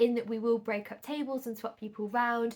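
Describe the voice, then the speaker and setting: In a northern English accent, a woman talks at a fairly quick pace with a fairly high pitch. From northern England. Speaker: podcast host and singles event organiser. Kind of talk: solo podcast monologue. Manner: conversational.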